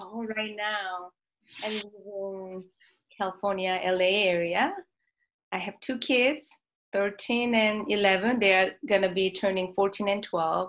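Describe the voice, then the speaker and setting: A woman with a Korean accent at a fairly slow pace. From South Korea. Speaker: marriage and family therapist. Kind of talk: interview conversation.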